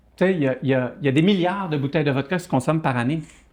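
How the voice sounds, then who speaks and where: This man's voice is fairly high in pitch, with ordinary pitch variation. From Quebec (Saguenay) and France (Burgundy). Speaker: entrepreneur. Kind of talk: podcast interview. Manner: hesitant, many fillers and repetitions.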